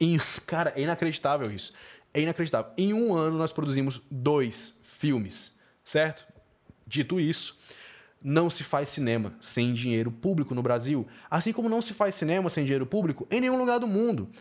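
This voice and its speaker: A man's fairly high voice rises and falls in very wide pitch swings. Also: moderate pace. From Brazil, Fortaleza (Ceará). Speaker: film critic and podcaster. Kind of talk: solo podcast monologue.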